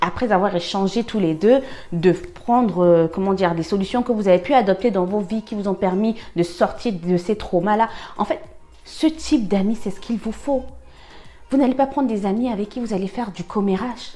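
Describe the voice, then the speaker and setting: Music plays behind a woman speaking at a moderate pace. Her voice is at a medium pitch with ordinary pitch variation. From Cameroon. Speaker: life-lessons vlogger. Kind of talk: personal advice monologue. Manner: halting, many fillers and repetitions; animated, conversational.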